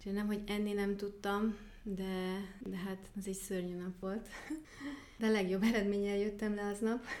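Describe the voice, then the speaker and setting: A woman talks at a fairly slow pace in a German accent, medium-pitched and monotone with flat intonation. Noticeable background noise and audible room echo surround her. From Germany (Baden-Württemberg, near Stuttgart). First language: German (speaking Hungarian). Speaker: archery coach and nature photographer. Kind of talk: interview. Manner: hesitant with many fillers.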